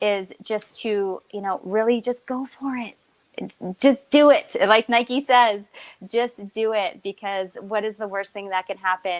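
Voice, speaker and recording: A woman's unremarkable speaking voice, fairly high in pitch, fairly slow and fairly even in intonation, with big swings in loudness. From Newfoundland, Canada (Stephenville). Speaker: entrepreneur guest. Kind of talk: interview.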